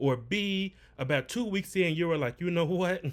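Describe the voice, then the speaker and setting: A man's animated tone with lively intonation. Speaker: business coach. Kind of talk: livestream tutorial. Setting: livestream. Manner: fast.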